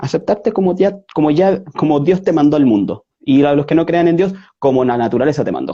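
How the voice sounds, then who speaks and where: A man with a Chilean accent speaks here. His pitch is fairly high and his pace fairly quick. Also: ordinary pitch variation. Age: 30s. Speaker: interview guest. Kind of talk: interview. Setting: online video call. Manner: halting, many fillers and self-corrections.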